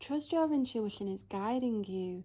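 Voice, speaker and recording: A woman of medium pitch with a dark, mellow tone and lively intonation. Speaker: tarot reader. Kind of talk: tarot reading.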